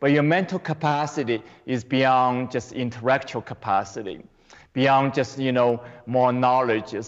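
In a Chinese accent, a man speaks at a fairly slow pace. His loudness stays very even and his intonation fairly even. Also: medium pitch for a man. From China. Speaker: qigong teacher. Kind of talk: interview.

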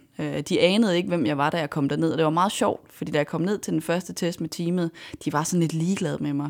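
Her voice very deep and low with vocal fry, a woman speaks at a fairly quick pace with ordinary pitch variation in a very clean recording with a silent background. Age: 20s. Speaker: racing driver. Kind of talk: interview. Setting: studio.

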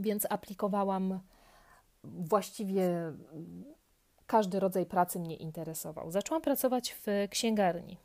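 Her tone is dark and mellow as the woman speaks at a fairly slow pace with ordinary pitch variation. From southern Poland, near Kraków. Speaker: yoga podcaster, trained musician. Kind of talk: casual monologue.

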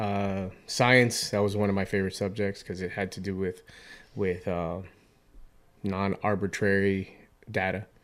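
A man with an American accent talks at a fairly slow pace, leaving long, frequent pauses. His voice is fairly low, with a flat, monotone delivery. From Miami, Florida (Hialeah). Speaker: navy corpsman, war veteran. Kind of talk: casual interview.

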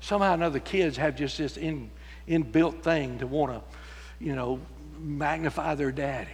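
With a Texan accent, a man talks at a moderate pace amid audible room echo. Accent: Texan Southern US. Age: 70s. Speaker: pastor. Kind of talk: sermon. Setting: church.

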